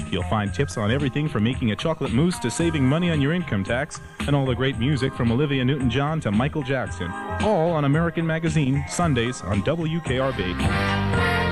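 A man of medium pitch speaks at a fairly quick pace with hardly any pauses and very even loudness. His pitch swings very widely, with music in the background. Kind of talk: radio show promo announcement. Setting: 1980s American FM radio.

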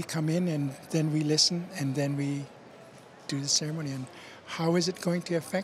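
A man speaks in a monotone, flat way, the sound dry with no echo and light background noise. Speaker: minister. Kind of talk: interview answer. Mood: calm, warm. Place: hall. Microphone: handheld.

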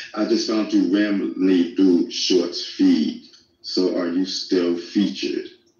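A man speaks at a very slow pace in a room with audible echo. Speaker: livestreamer. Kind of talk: casual chat. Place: home room. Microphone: phone near.

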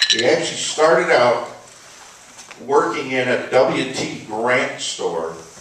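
There's noticeable background noise and audible room echo as a man speaks. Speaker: workshop speaker on music history. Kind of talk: informal talk. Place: stage. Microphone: camera far.

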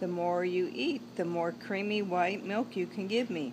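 Over noticeable background noise, a woman speaks in a fairly low pitch with an animated, warm tone and lively intonation. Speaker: grandmother reading to grandchild. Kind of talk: bedtime story reading aloud to a grandchild, with asides about the pictures. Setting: home video, holding up the book to the camera. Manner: warm, gentle, chatty storyteller pace with playful asides; animated, addresses the child directly. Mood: warm, gentle. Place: garden. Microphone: phone near.

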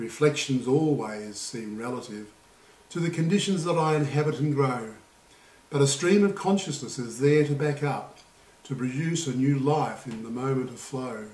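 With a calm tone, a man speaks at a fairly high pitch, and audible room echo surrounds his voice. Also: ordinary pitch variation, moderate pace, big swings in loudness. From Australia. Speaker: poet and Buddhist vlogger. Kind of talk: poetry reading, spoken word. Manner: calm, reflective, measured. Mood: calm, reflective. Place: home room. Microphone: camera far.

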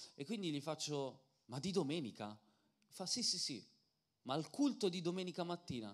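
Over a quiet background, a man with a fairly high voice and vocal fry speaks at a moderate pace in an animated tone, his pitch swinging very widely between long, frequent pauses. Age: 30s. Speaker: preacher and singer; preacher. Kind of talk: sermon. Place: church. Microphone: handheld.

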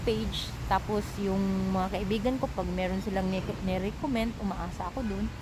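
A woman's voice, dry with no echo, amid noticeable background noise. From Philippines. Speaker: domestic worker and vlogger; vlogger. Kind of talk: casual vlog monologue. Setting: outdoors in a park. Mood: calm, reflective storytelling. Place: garden. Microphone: phone near.

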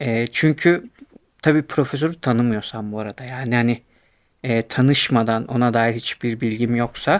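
The pace is moderate, with ordinary pitch variation. The recording is very clean, with a silent background. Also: man, medium pitch for a man. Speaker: YouTuber in academia. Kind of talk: casual monologue. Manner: hesitant, many fillers; laughs often.

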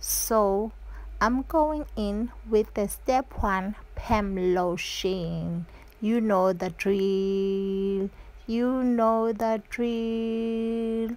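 A woman speaks at a very slow pace with fairly even intonation. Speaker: channel host. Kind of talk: tutorial. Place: home room. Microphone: camera far.

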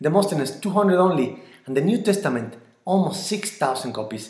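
Speaking with a Mexican accent and lively intonation, a man keeps a moderate pace against a quiet background with audible room echo. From Mexico. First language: Spanish. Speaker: church member. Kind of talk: apologetics talk. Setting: recorded video. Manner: earnest. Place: home room. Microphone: webcam.

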